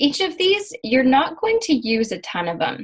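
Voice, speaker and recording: A somewhat breathy woman's voice at a moderate pace, full of lively intonation. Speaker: emotion and mindset coach. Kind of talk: online class lesson.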